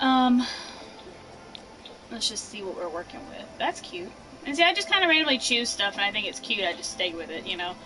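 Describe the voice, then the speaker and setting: Music plays behind a woman whose pitch swings very widely and whose loudness rises and falls in big swings. She leaves long, frequent pauses. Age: 20s. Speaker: gaming streamer. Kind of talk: casual live stream tutorial. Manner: casual, chatty with fillers.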